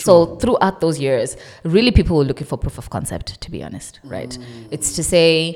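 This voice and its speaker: A woman speaks with a fairly low pitch and vocal fry. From South Africa. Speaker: data science entrepreneur. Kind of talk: casual chat.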